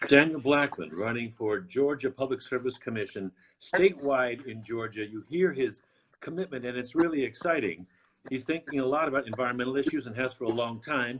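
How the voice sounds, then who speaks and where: Here is a man with a normal speaking voice and an American accent, at medium pitch with ordinary pitch variation. He talks at a fairly quick pace, with big swings in loudness. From Boston, US. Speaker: talk show host. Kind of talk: interview. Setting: live stream.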